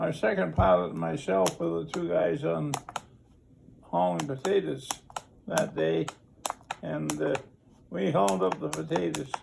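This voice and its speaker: A man with a very deep, low voice speaks at a fairly slow pace, his pitch swinging very widely, with long, frequent pauses and noticeable background noise. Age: 80s+. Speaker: war veteran. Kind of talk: interview.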